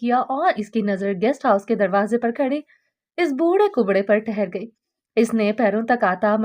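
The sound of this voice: A quiet background sits under this unforced reading voice.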